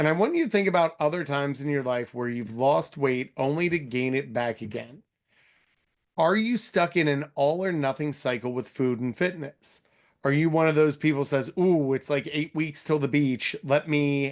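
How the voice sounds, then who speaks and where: In an ordinary speaking voice with an American accent, a man speaks at a moderate pace with ordinary pitch variation over a quiet background. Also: fairly high pitch for a man. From Philadelphia, US. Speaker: fitness and nutrition coach. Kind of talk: webinar presentation.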